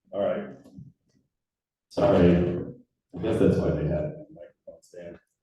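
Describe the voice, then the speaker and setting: A man at a fairly slow pace, with big swings in loudness and long, frequent pauses. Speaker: trails nonprofit director. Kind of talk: public presentation at community meeting. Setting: community meeting room with audience, microphone on stand.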